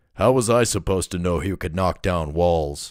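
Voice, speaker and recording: A man does a put-on character voice, very deep and raspy. He keeps a moderate pace. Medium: read story. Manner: rough, menacing.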